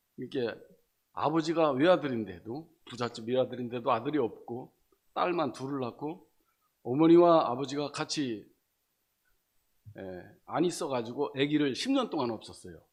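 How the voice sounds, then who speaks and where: This man's voice sits fairly high, with ordinary pitch variation. He talks at a moderate pace, leaving long, frequent pauses. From Chungcheong, South Korea. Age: 60s. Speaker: church member giving testimony. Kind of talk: testimony. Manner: halting, many fillers.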